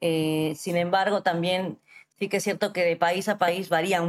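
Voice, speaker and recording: An unremarkable speaking voice from a woman, fairly low in pitch, fairly slow and fairly even in intonation, on a very clean recording with a silent background. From Peru, Arequipa. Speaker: lawyer and entrepreneur. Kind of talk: interview.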